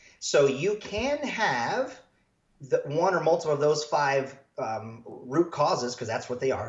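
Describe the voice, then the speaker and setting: In an American accent, a man speaks at a moderate pace with a fairly high pitch, lively intonation, and a somewhat breathy sound. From rural US. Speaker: health practitioner, doctor. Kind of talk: podcast interview. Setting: standing during interview. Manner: animated.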